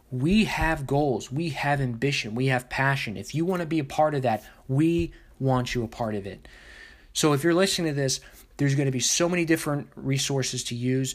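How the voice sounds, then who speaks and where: Over a very clean, silent background, a man with a fairly high pitch talks at a fairly quick pace in an animated, upbeat tone with ordinary pitch variation. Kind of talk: pep talk. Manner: animated, upbeat and motivational; emphatic, rallying, with punchy repeated phrases.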